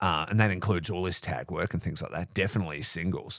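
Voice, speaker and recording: The voice has an Australian accent. The recording is very clean, with a silent background. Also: man. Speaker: wrestling podcast host. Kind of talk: casual solo recap. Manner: animated.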